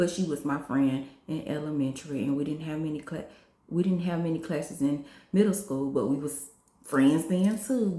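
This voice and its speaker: A woman's very deep, low voice with audible room echo. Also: ordinary pitch variation, moderate pace. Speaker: vlogger. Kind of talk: personal testimony vlog. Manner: conversational, repetitive.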